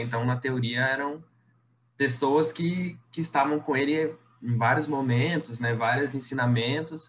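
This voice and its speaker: Somewhat breathy, a man speaks at a fairly high pitch with ordinary pitch variation. His pace is moderate. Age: 20s. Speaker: university student and prayer group coordinator. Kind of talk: casual chat.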